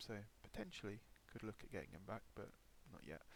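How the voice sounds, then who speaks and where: Fairly quick speech from a man with an English accent. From England. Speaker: gaming YouTuber. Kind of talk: gameplay commentary. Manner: hesitant, many fillers.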